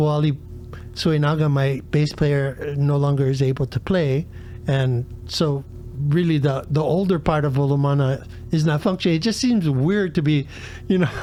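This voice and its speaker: The tone is dark and mellow, the loudness very even, with a moderate pace and ordinary pitch variation. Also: man, fairly high pitch for a man. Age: 70s. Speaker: singer-songwriter. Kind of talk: casual chat.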